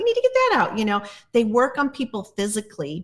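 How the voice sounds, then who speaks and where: A woman talks fairly quickly in a somewhat breathy voice pitched fairly high. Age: 60s. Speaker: plant medicine guide. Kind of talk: casual chat. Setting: podcast interview.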